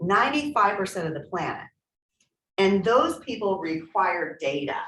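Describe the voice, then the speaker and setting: A woman speaks loudly at a moderate pace, and her pitch swings very widely. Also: medium pitch for a woman. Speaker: real estate trainer. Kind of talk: training workshop.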